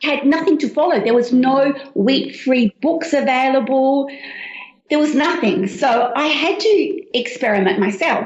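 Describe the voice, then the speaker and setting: The speaker has an Australian accent and a fairly slow pace. Intonation is lively while loudness stays very even. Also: woman, high pitch for a woman. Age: 60s. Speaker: cookbook author. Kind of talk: interview.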